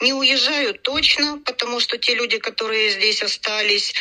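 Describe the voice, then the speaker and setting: Noticeable background noise sits behind a woman's voice. She speaks at a moderate pace with lively intonation. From Ukraine. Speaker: pediatric hospital department head. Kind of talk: interview.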